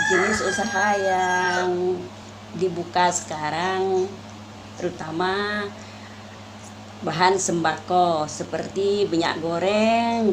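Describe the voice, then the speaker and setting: Talking at a very slow pace, a woman is heard with audible room echo and noticeable background noise. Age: 50s. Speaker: small shop owner. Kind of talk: interview answers.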